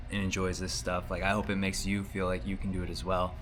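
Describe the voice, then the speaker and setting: A man with an American accent and vocal fry speaks at a fairly quick pace, with audible room echo. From United States. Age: 30s. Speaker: vlogger, artist. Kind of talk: video diary. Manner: casual, hesitant with fillers.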